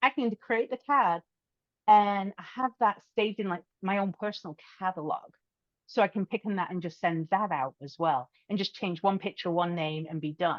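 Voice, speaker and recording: A woman with a British accent talks at a moderate pace and medium pitch, with ordinary pitch variation, in a dry, close sound with no echo. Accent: British accent, still noticeable. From UK. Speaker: podcast host, social media strategist. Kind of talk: interview podcast conversation.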